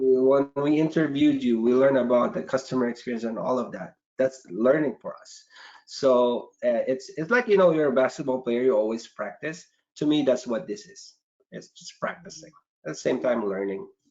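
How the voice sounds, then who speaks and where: A man with a non-native accent talks with lively intonation. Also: medium pitch for a man, moderate pace. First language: not English. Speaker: marketing manager. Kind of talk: casual chat.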